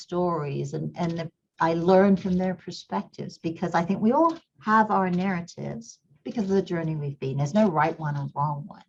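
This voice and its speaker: With a slight English accent, a woman speaks at a moderate pace in a fairly low, somewhat breathy voice with ordinary pitch variation. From Kenya. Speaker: company CEO, engineer. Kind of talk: interview conversation.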